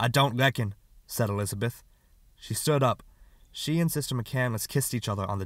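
The speaker does plain reading aloud.

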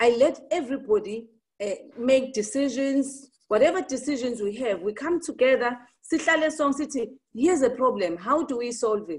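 In a Zulu accent, a woman speaks with a high pitch and lively intonation. Her pace is moderate. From South Africa, KwaZulu-Natal. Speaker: entrepreneur; talk show guest. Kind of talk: interview. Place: home room. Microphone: video call.

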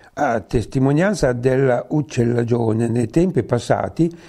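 A man's dark, mellow voice at a fairly slow pace. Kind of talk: local history reading.

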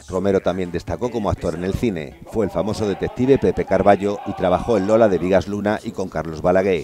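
Music plays in the background as a man talks at a fairly quick pace. His voice is fairly low with ordinary pitch variation. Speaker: TV news reporter. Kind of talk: TV news report narration.

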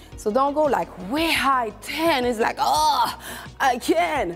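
Faint music plays in the background. A woman speaks with ordinary pitch variation. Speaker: fitness instructor. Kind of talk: workout coaching. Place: studio.

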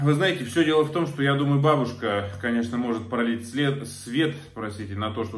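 With ordinary pitch variation, a man is talking.

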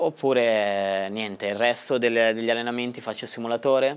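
A man with a Tuscan accent speaks at a fairly slow pace. His pitch is medium, with fairly even intonation. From Tuscany. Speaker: racing driver; guest. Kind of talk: interview. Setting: studio. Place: studio. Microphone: lapel.

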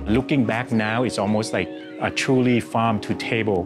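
Clear music plays in the background as the speaker goes at a fairly slow pace with ordinary pitch variation. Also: man. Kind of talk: interview answer. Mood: warm, proud storytelling. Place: cafe. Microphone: lapel.

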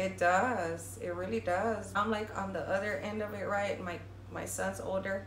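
Over light background noise, a woman speaks at a moderate pace with audible room echo. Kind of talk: casual vlog chat. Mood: earnest, emotional, reflective. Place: home room. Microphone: phone near.

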